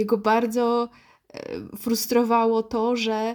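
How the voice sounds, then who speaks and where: A woman's fairly high voice in a very clean recording with a silent background. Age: 30s. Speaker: podcast host and dating advice author. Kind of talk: solo podcast monologue. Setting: sitting at a desk.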